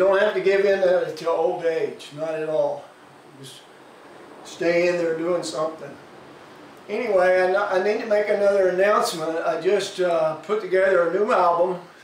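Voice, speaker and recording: A high-pitched male voice with light background noise and audible room echo. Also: fairly even intonation, moderate pace. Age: 60s. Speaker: musician. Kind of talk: casual vlog message. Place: home room. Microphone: camera far.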